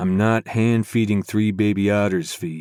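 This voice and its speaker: In a gruff, put-on character voice, a man speaks at a moderate pace with a fairly low pitch. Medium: read story. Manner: dry, low and gruff.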